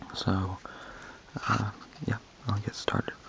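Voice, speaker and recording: Noticeable background noise accompanies fairly slow whispering. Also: man. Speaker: ASMR video creator. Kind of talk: ASMR soft-spoken random facts reading. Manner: soft-spoken, whispery.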